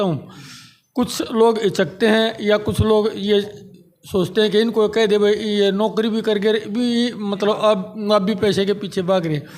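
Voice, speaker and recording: This man's pitch is high. His intonation is fairly even. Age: 60s. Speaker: retiree working in insurance. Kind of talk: interview.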